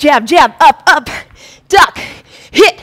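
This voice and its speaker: A woman with a high pitch speaks in an upbeat, energetic tone against a quiet background. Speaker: fitness instructor. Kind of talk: live-streamed boxing workout class, coaching with rhythmic cues and combo calls. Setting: live-streamed video workout. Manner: animated, chatty with viewers, laughing and greeting them by name. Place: studio.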